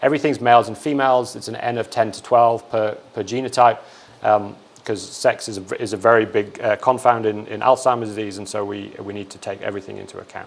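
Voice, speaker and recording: Speaking at a very fast pace, a man keeps his intonation fairly even while noticeable background noise carries on behind him. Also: medium pitch for a man, big swings in loudness. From England. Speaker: research scientist. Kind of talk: lecture. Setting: seminar room with audience. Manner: hesitant with frequent repetitions.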